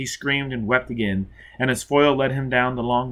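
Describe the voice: Fairly even intonation in plain reading aloud.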